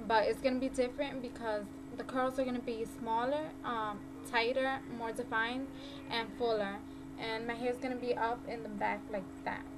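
Music plays behind a woman with a high pitch. She keeps a moderate pace and fairly even intonation. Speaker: beauty vlogger. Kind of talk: hair tutorial talk to camera. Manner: casual, friendly. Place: home room. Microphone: webcam.

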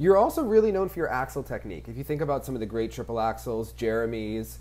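A man rattles off his words at a very fast pace. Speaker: figure skating channel host. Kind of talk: interview. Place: home room. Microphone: earbuds.

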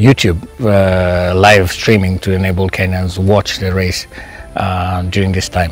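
A man speaks at a moderate pace in a fairly low voice. Faint music plays behind him, and the sound is dry with no echo. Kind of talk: interview answer. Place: garden.

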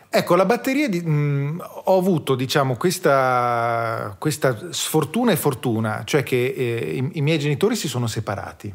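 A man's fairly high-pitched, plain, everyday voice at a moderate pace. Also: lively intonation. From South Tyrol, Italy. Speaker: drummer. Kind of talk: casual chat.

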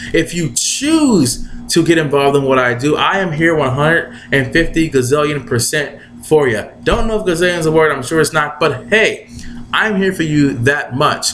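Music plays in the background as a man talks at a moderate pace. His pitch is fairly high, with ordinary variation. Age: 20s. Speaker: online marketer. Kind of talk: motivational video blog. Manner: animated. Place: home room. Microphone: webcam.

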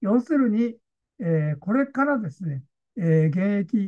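A man's dark, mellow voice with lively intonation, set against a quiet background. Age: 80s+. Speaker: consultant, online lecture host. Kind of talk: online lecture to camera. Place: home room. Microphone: webcam.

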